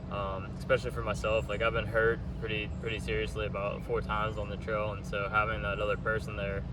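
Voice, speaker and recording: Very fast speech in an American accent with hardly any pauses, audible room echo and noticeable background noise. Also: man. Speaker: thru-hiker. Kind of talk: casual interview.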